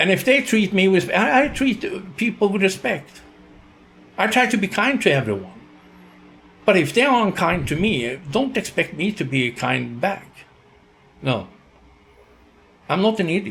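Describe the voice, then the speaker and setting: This man talks at a moderate pace in a Swedish accent, his pitch high with very wide swings. He leaves long pauses often. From Sweden. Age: 60s. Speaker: YouTuber, retiree. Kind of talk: casual monologue vlog. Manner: halting.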